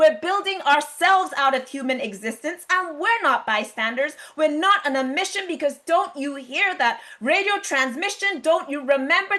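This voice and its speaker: A woman's raised, projected voice, high-pitched, bright and sharp, with lively intonation, a moderate pace and hardly any pauses. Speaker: spoken word poet. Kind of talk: spoken word poetry performance. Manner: rhythmic, rhyming delivery.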